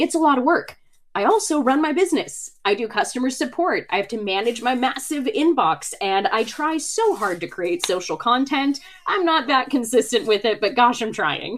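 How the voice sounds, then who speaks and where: The speaker's pitch swings very widely over noticeable background noise. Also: woman, high pitch for a woman. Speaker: website design expert and content creator. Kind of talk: webinar presentation. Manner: fast.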